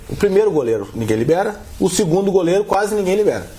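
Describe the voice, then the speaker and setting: A man talks with very wide pitch swings against noticeable background noise. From southern Brazil. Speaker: football club executive. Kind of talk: interview.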